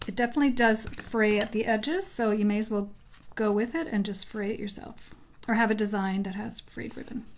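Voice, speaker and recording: A woman's fairly high voice at a fairly quick pace, with fairly even intonation and audible room echo. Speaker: craft demonstrator. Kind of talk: live-stream crafting tutorial. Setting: live stream.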